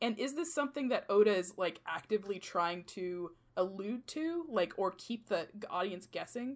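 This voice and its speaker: A woman speaks at a moderate pace, her medium-pitched voice swinging very widely up and down. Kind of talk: casual chat.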